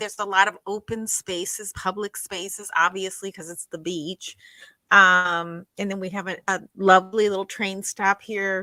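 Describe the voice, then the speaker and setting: A woman with a medium-pitched voice speaks at a moderate pace in a flat monotone, her loudness swinging widely, in a dry, close recording with no echo. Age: 60s. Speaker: skincare specialist and podcast co-host. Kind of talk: casual chat. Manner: halting, many fillers and restarts.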